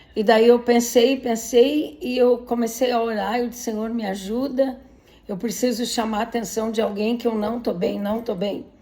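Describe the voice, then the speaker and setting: Fairly high-pitched woman with fairly even intonation, amid audible room echo and noticeable background noise. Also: moderate pace. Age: 60s. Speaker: patient sharing illness story. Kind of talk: personal testimony. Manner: emotional.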